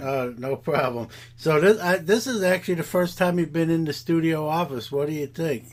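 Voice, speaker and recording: A plain, everyday voice, a man's, fairly high-pitched, with ordinary pitch variation at a moderate pace. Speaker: podcast host. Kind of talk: podcast interview questions.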